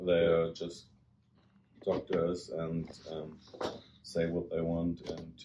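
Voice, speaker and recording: At a very slow pace with long, frequent pauses, a man with a very deep, low pitch speaks in a German accent. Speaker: travelling joiner. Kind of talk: interview.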